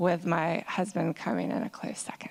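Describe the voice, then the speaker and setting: On a very clean recording with a silent background, a woman with a fairly low pitch talks with vocal fry and fairly even intonation. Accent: American. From US South, Georgia. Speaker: parent advocate, conference panelist. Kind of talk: conference panel talk.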